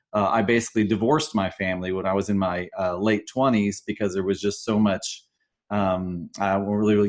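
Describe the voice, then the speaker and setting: Against a quiet background, a man talks at a fairly quick pace, his fairly low voice keeping fairly even intonation. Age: 50s. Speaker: webinar co-host. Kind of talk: personal testimony. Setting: live webinar. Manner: halting, many fillers and repetitions.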